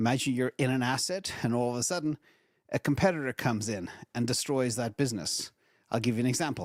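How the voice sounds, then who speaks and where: A man at a very fast pace in a very clean recording with a silent background, the sound dry and close with no echo. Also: medium pitch for a man, ordinary pitch variation. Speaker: investing video host. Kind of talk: solo market commentary and advice. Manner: casual, conversational with tangents.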